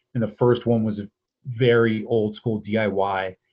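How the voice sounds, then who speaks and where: A man with an American accent speaks in a plain, everyday voice, fairly low in pitch and fairly even in intonation. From US East Coast. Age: 40s. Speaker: essayist and arts administrator. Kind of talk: interview conversation.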